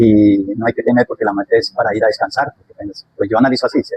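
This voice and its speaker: A man speaks at a fairly quick pace in a medium pitch, his voice somewhat breathy and the sound dry and close with no echo. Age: 60s. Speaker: interviewee. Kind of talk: interview.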